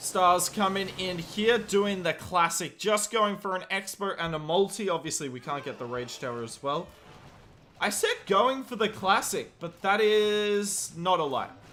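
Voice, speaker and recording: A man's raised, projected voice, high in pitch, with lively intonation and an Australian accent. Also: fairly slow pace. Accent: Australian, sometimes taken for English. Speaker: game commentator and streamer. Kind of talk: live commentary. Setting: live stream. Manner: animated.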